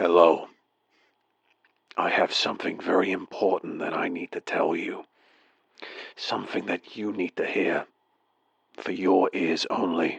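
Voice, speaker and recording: In a put-on character voice, a man growls out words with a raspy, very deep, low pitch. He keeps a moderate pace but leaves long, frequent pauses. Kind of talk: comedic voicemail monologue. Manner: hesitant, halting.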